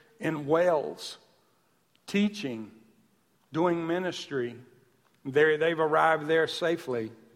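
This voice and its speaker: Audible room echo surrounds a man with a Southern US accent. He talks at a very slow pace and a fairly high pitch. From US South. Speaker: pastor. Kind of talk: sermon.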